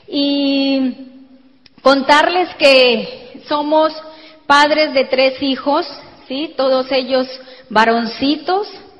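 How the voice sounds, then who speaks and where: Over noticeable background noise, a woman talks at a very slow pace in a high pitch with ordinary pitch variation and long, frequent pauses. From Colombia. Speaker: network marketing speaker. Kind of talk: motivational talk. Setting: stage with audience.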